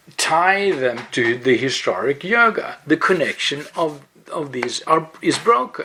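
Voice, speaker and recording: In a Swedish accent, a man speaks at a very slow pace in a fairly high pitch with very wide pitch swings. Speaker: yoga blogger. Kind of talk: explainer monologue. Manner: halting, with fillers.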